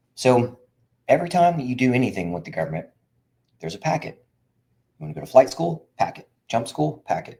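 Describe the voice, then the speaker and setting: Very fast, dark, mellow male speech with very wide pitch swings, big swings in loudness and long, frequent pauses. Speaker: veteran benefits consultant. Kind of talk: live stream talk. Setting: live video stream. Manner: animated.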